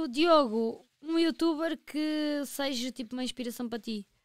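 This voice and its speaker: Against a quiet background, the dry, echo-free speech moves at a moderate pace with ordinary pitch variation. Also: woman. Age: 30s. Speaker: podcast co-host. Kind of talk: casual chat. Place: studio. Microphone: studio mic.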